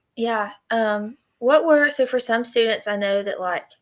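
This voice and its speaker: A woman with a Southern accent, fairly high pitch, ordinary pitch variation and a very slow pace, on a very clean recording with a silent background. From East Tennessee. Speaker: student ministry podcast host. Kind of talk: casual interview.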